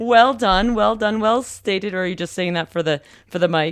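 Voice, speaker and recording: With lively intonation, a woman talks in an ordinary speaking voice at a medium pitch. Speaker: podcast host. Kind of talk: casual interview questions.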